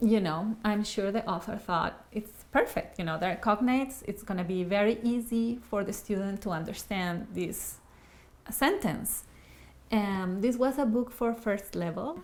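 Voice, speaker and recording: At a fairly slow pace, a speaker in an Ecuadorian accent talks with ordinary pitch variation. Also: woman, fairly high pitch for a woman. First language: Spanish. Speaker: Spanish easy-reader author. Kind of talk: casual monologue to camera.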